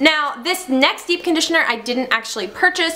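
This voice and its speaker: Pitch varies in an ordinary way through the voice, and noticeable background noise is present. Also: woman. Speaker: mommy vlogger. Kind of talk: casual product review vlog. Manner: fast.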